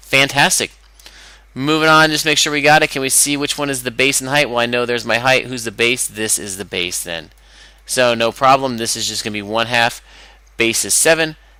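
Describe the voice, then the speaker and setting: Bright and sharp in tone, a man's medium-pitched voice moves at a fairly quick pace with ordinary pitch variation. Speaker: math teacher. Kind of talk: tutorial. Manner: fast; animated.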